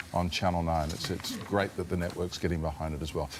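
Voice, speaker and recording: This man talks very fast with an Australian accent. Noticeable background noise runs behind him. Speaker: TV entertainment reporter. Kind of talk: live TV segment.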